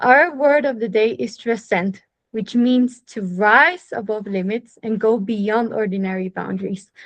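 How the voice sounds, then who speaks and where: A woman with an unremarkable speaking voice talks at a fairly slow pace with hardly any pauses, her fairly high pitch showing ordinary variation. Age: young. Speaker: meeting host. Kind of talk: formal meeting hosting.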